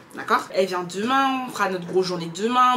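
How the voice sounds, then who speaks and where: Fairly quick and animated, a woman's voice makes very wide pitch swings over noticeable background noise. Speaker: lifestyle vlogger. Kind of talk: casual vlog talk to camera. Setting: at home.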